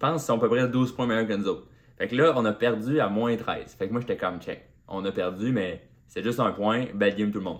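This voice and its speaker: Recorded very cleanly against a silent background, a man with a Quebec accent speaks fairly quickly at a medium pitch, his loudness swinging widely. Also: ordinary pitch variation. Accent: Québécois French. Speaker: comedian. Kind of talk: solo podcast monologue.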